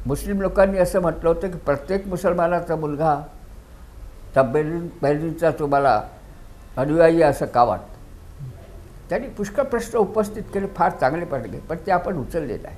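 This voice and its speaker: This man's voice sits at a high pitch. Its pitch varies in an ordinary way. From India, Vidarbha (Wardha); Vidarbha, India. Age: 90s. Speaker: retired judge. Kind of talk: interview. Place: home room. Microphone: lapel.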